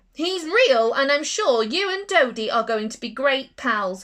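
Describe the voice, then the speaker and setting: A woman uses a put-on character voice at a high pitch and a moderate pace. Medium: read story. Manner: firm, proper.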